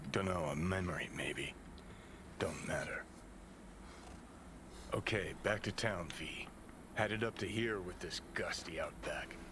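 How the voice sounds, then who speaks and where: In a put-on character voice, someone whispers at a fairly slow pace with long, frequent pauses over loud background noise. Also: man. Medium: video game. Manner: gruff, laconic.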